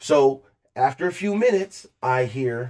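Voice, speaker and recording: A loud, animated man's voice with very wide pitch swings on a very clean recording with a silent background. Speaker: podcast co-host telling a story. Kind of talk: casual storytelling chat.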